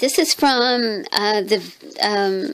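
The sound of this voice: A woman speaks with a croaky voice, vocal fry, and fairly even intonation.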